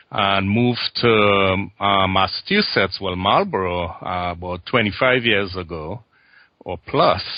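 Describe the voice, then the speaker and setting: At a moderate pace, a man with a Trinidadian accent speaks at a fairly low pitch with ordinary pitch variation. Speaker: transformation coach and former banker. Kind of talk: interview.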